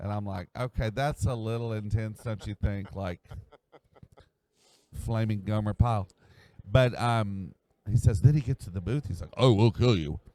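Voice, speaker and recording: A man with an American accent speaks at a fairly low pitch in a dark, mellow tone, with long, frequent pauses, big swings in loudness and a dry, close sound with no echo. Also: ordinary pitch variation, moderate pace. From USA. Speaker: voice actor. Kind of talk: interview at a fan convention. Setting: convention event.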